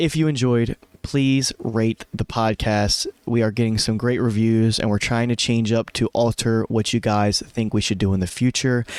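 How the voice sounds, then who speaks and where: A man's medium-pitched voice, monotone and flat, at a moderate pace, in a very clean recording with a silent background and a dry, close sound with no echo. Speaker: sports betting podcast host. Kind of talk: solo podcast recap. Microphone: new mic settings.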